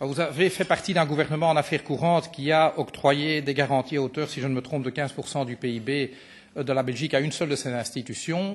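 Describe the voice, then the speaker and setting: A man's fairly high, somewhat breathy voice at a very fast pace, with fairly even intonation over a quiet background. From Belgium. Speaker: politician. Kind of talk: parliamentary committee questioning. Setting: committee meeting.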